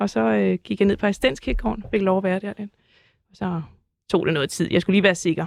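A woman talks at a very fast pace with lively intonation. The sound is dry and close, without echo. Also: medium pitch for a woman. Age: 40s. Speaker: artist and landscape gardener. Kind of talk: casual chat.

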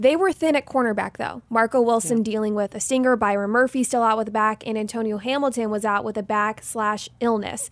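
With a plain, everyday voice, a woman talks in a fairly high pitch. She keeps a fairly quick pace with fairly even intonation and hardly any pauses. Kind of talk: sports talk show recap. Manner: brisk, clear, newsy play-by-play recap delivery.

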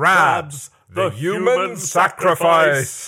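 A man uses a loud, raspy, put-on character voice with a dramatic tone. His pitch is high, with ordinary pitch variation. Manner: dramatic, loud title announcement.

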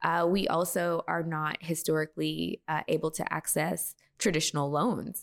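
A woman with an American accent and very deep, low pitch speaks with vocal fry and fairly even intonation, in a dry, close sound with no echo. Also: moderate pace, very clean recording, silent background. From Texas. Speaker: beauty brand founder and former makeup artist. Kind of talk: interview.

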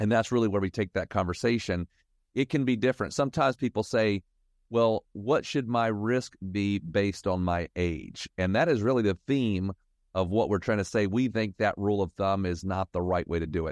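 With an unremarkable speaking voice, a man talks at a moderate pace and fairly low pitch, his pitch varying in an ordinary way and his loudness very even, in a dry, close sound with no echo and a quiet background. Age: 50s. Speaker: financial advisor. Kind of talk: casual chat.

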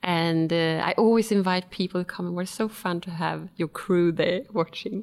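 A woman speaks in a Swedish accent at a moderate pace. Her pitch is fairly low and her intonation fairly even. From Sweden. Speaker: wellness consultant and personal trainer. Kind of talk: casual interview. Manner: hesitant, with many fillers.

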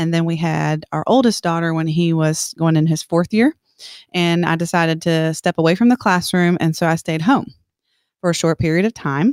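An ordinary speaking voice from a woman with an American accent, fairly low in pitch with ordinary pitch variation, comes at a moderate pace in a very clean recording with a silent background and a dry, close sound with no echo. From South Carolina (Columbia). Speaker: teacher. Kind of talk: interview.

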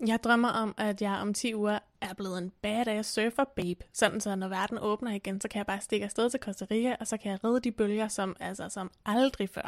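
Monotone, flat delivery at a moderate pace with hardly any pauses, in a dry, close sound with no echo and a very clean recording over a silent background. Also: woman, fairly high pitch for a woman. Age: 30s. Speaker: podcast co-host. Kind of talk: casual chat.

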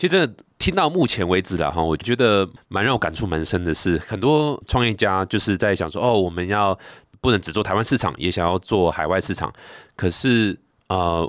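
On a very clean recording with a silent background, a man with a very deep, low pitch talks at a moderate pace with lively intonation. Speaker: podcast host, venture capital. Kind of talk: interview.

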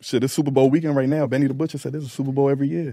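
A man talks with a New York accent. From Queens, New York; raised in Phoenix. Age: 30s. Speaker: rapper. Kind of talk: casual interview chat. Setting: live podcast at Super Bowl event.

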